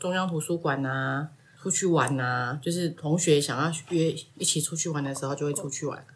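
At a moderate pace, a woman talks in a very deep, low pitch over noticeable background noise. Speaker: parent of student. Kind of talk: interview.

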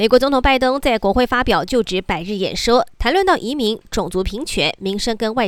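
The voice is an unremarkable speaking voice with lively intonation. Its pace is moderate. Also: woman, very clean recording, silent background. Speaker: news anchor. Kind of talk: news reading. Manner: formal.

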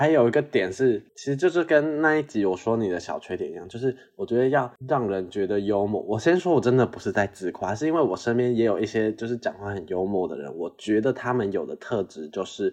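A man speaks at a fairly quick pace with lively intonation and a medium pitch, against a quiet background. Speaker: podcast co-host. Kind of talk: casual chat. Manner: moderate pace, fast when excited.

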